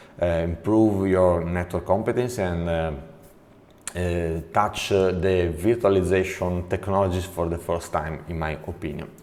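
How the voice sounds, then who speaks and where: In an Italian accent, a man talks at a fairly slow pace. His pitch is very deep and low. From Italy. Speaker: network trainer. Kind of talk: tutorial. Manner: halting, many fillers.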